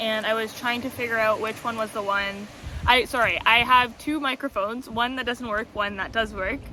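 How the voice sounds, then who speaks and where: Over noticeable background noise, a woman talks at a moderate pace in a fairly high voice with fairly even intonation. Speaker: tarot content creator. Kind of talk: casual vlog monologue. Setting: outdoors by the ocean. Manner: loud; hesitant, many fillers.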